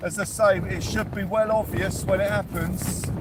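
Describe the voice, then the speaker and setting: Over noticeable background noise, a man with a British accent shouts loudly in a high voice, very slowly and with fairly even intonation. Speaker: angler livestreamer. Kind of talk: live fishing stream chat. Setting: fishing shelter on beach in storm. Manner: loud, shouting over wind.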